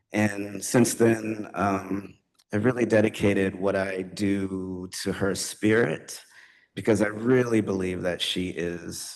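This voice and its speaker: Amid audible room echo, a man speaks very slowly in a fairly low pitch with fairly even intonation. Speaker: poet. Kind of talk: poetry reading with talk. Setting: stage with audience. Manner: hesitant, many fillers.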